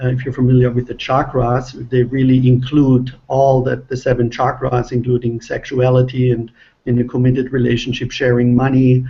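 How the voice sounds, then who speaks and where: This man has a German accent and a medium pitch, speaking at a moderate pace. His intonation is monotone and flat, and his voice is somewhat breathy. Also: hardly any pauses. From Germany. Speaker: relationship author. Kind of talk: panel discussion.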